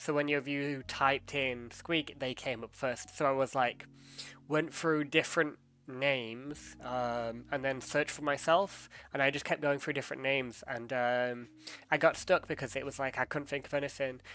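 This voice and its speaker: Speaking with an English accent at a moderate pace, a man uses a bright, sharp, fairly high voice with fairly even intonation. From England. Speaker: streamer. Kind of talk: casual chat. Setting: live stream. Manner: hesitant, many fillers.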